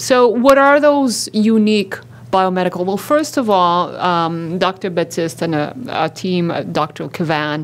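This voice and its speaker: Her pitch medium and swinging very widely, a woman talks at a fairly slow pace. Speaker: psycho-oncology researcher and clinician. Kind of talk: conference talk. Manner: loud.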